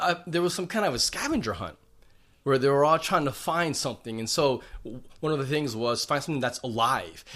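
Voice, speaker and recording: This man has a plain, everyday voice, fairly high in pitch. He talks at a fairly quick pace with lively intonation. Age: 40s. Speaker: pastor. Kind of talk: sermon; casual chat.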